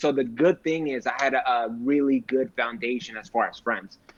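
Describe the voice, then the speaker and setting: In an unremarkable speaking voice, a man with a medium pitch talks at a moderate pace. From California, Sacramento area (born in Mexico). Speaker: military veteran, realtor. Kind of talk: casual podcast interview.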